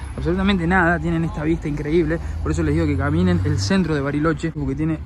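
The man's voice has a dry sound with no echo, with light background noise behind it. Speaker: travel vlogger. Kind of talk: casual travel vlog commentary. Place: street. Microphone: phone near.

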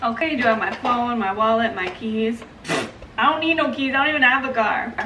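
A woman's high-pitched voice at a fairly quick pace, over noticeable background noise. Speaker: comedy skit creator. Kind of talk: casual vlog chat.

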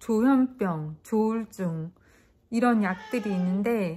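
With a dark, mellow tone and a somewhat breathy quality, a woman talks with ordinary pitch variation over light background noise. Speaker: vlogger. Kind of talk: casual vlog chat. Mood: subdued, sad, reflective. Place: home room. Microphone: phone near.

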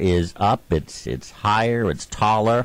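The speech moves at a very slow pace with ordinary pitch variation and a dry sound with no echo. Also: man. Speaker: radio show host. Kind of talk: radio show introduction. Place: studio.

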